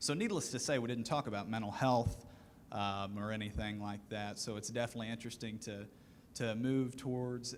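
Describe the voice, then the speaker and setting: A man with a Southern US accent, medium pitch and a fairly quick pace. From US South, rural western Kentucky. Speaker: aviation student panelist. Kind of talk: panel discussion.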